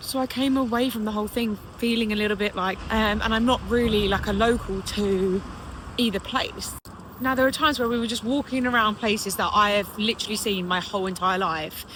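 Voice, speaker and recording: A woman with a British accent speaks at a fairly quick pace in a fairly high pitch with fairly even intonation. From England. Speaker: British expat vlogger. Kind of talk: casual vlog monologue. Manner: conversational, with fillers.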